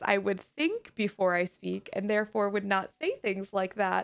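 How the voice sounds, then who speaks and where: A woman with an American accent speaks in an animated tone. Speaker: streamer. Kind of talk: live stream chat.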